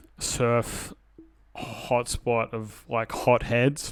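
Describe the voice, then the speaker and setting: In an Australian accent, a man talks at a medium pitch with monotone, flat intonation. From Sydney northern beaches, Australia. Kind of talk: casual chat.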